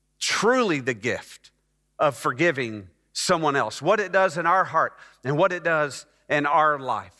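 With a Texan accent, a man with a fairly high pitch and a bright, sharp tone speaks at a fairly slow pace with lively intonation on a very clean recording against a silent background. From Texas (Dallas). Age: 50s. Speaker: pastor. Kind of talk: sermon. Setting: church.

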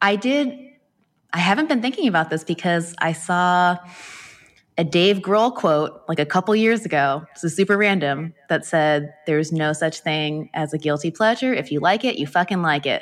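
An ordinary speaking voice, a woman's, fairly low with lively intonation, on a very clean recording with a silent background. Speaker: lettering artist and online course creator. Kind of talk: casual interview. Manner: fast, filler-heavy.

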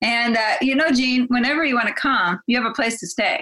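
A woman with a high pitch talks at a fairly quick pace in a raised, projected voice. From Azores, Portugal (to age 11), then US. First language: Portuguese. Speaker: physician. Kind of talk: interview.

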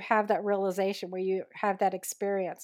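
A woman with an American accent talks at a moderate pace. She has an ordinary speaking voice at a medium pitch. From New York, lower Hudson Valley. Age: 60s. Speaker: urban revitalization consultant and tour guide. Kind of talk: interview.

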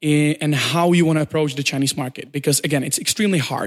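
Here a man speaks at a fairly high pitch with ordinary pitch variation. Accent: Czech. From Czech Republic. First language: Czech. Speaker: startup community director. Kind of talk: interview. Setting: in person.

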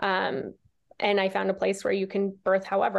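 A fairly quick pace over a quiet background. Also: woman. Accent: American. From US Midwest, Nebraska. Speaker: birth doula and podcast host. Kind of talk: interview conversation.

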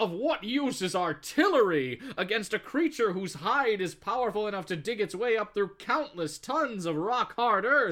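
The speaker uses an unforced reading voice.

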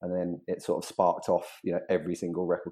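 A man with a southern English accent speaks at a very fast pace in a very deep, low pitch. His intonation is monotone and flat, and the background is quiet. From southeast England. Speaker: music industry executive. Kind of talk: casual interview. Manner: halting.

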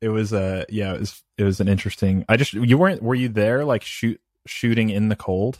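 At a fairly quick pace, a man with a fairly low pitch and fairly even intonation speaks in an unremarkable speaking voice, recorded very cleanly with a silent background. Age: 30s. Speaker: podcast host. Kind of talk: casual interview chat.

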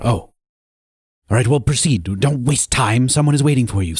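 The intonation is lively, at a moderate pace. Loudness stays very even throughout. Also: man, medium pitch for a man. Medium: actual play. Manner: brisk, curt.

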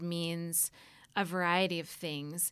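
A woman with an American accent at a very slow pace, on a very clean recording with a silent background. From US South, Atlanta. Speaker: university sustainability administrator. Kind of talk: interview. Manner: frequent filler words, um.

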